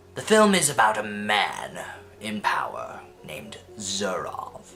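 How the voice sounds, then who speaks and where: A man puts on a character voice, pitched fairly low. He talks at a fairly slow pace. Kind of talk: casual video essay narration. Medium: comedy sketch. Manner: casual, lightly sarcastic.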